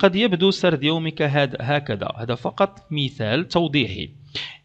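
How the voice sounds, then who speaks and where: Very wide pitch swings mark a man's fairly high-pitched voice. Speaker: English language teacher, YouTuber. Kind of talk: tutorial.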